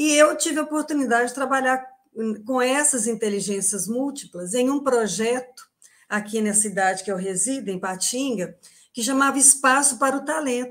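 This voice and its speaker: With ordinary pitch variation, a woman's high voice moves along at a moderate pace. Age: 60s. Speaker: retired Portuguese teacher. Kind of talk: online panel talk.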